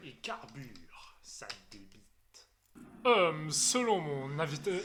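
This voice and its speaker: A man puts on a character voice, fairly high in pitch and delivered at a very slow pace. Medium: fan dub. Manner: earnest, self-important.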